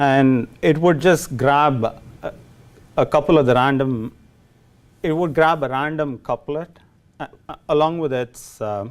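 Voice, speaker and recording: A man's fairly high voice with a Tamil Indian accent, fairly slow and broken by long, frequent pauses. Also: ordinary pitch variation. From India, Chennai. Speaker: programmer giving a lightning talk. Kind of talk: tech talk to a meetup audience. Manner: hesitant, many fillers.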